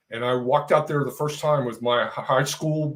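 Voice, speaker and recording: An unremarkable speaking voice from a man with an American accent, medium in pitch with ordinary pitch variation. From Texas. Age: 60s. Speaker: retired real estate agent. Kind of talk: casual interview chat.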